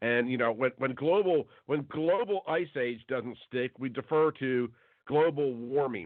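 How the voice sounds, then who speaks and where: This man has an unremarkable speaking voice at a medium pitch with ordinary pitch variation. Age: 50s. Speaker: talk show host. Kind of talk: radio interview.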